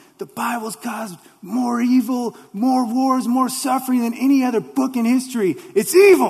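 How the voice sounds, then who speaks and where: A man shouting in a put-on character voice at an extremely high pitch, moderate pace and hardly any pauses. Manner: yelling, angry, accusing.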